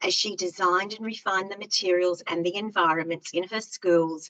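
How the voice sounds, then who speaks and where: A woman's bright, sharp voice at a medium pitch, with ordinary pitch variation. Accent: Australian. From Australia. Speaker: early years education specialist. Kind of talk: online presentation. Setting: online webinar.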